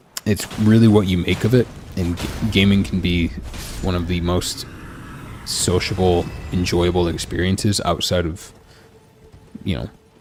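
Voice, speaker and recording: A man with a very deep, low pitch speaks with fairly even intonation and long, frequent pauses. Noticeable background noise runs underneath. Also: moderate pace. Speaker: gaming streamer. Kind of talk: casual chat.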